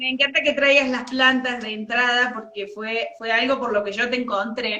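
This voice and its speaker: Here a woman speaks with an Argentine accent at a high pitch. Her intonation is fairly even and her pace moderate. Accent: Argentine Spanish (voseo). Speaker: interview host. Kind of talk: casual interview chat.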